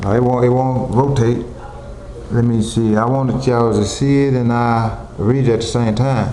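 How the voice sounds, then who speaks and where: Amid noticeable background noise and audible room echo, a man of medium pitch talks at a moderate pace with very even loudness and a monotone, flat intonation. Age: 60s. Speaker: video blogger and amateur poet. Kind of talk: casual vlog talk before a poetry reading. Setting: home kitchen, self-filmed on camcorder. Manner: halting, many fillers.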